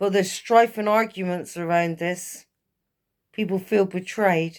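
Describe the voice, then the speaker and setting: A woman's medium-pitched voice with an English accent, fairly even intonation and a fairly slow pace, on a very clean recording with a silent background. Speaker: tarot reader. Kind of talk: tarot reading monologue.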